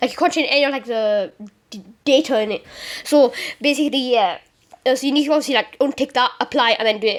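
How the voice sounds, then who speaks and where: Her high-pitched voice moves at a very fast pace, and the woman shows ordinary pitch variation. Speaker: gaming tutorial youtuber. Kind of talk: tutorial. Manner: halting, many fillers.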